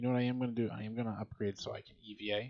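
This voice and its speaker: A man's quiet, very fast voice in a flat monotone. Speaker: video game streamer. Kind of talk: gameplay commentary. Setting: home recording. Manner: quiet, low voice.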